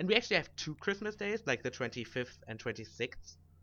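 Speaking with a German accent at a moderate pace, a man lets his pitch swing very widely. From Germany. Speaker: podcast co-host. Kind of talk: casual chat.

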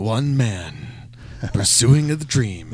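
A man puts on a character voice at a medium pitch with lively intonation. Light background noise sits behind him. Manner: dramatic, epic.

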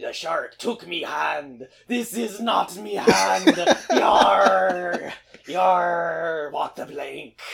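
In a put-on character voice, a man speaks raspily at a very slow pace, leaving long, frequent pauses. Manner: comic, growly.

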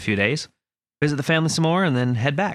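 In a playful tone, a man talks at a very fast pace. The recording is very clean, with a silent background. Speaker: podcast co-host. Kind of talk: casual chat. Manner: joking, playful.

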